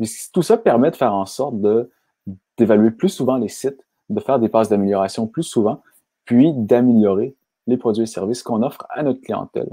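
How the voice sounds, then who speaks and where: A man speaks in a Quebec accent with a dark, mellow tone at a medium pitch. His pace is fairly quick, with ordinary pitch variation. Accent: Québécois French. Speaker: software company founder. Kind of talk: webinar presentation. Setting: online webinar. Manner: fast.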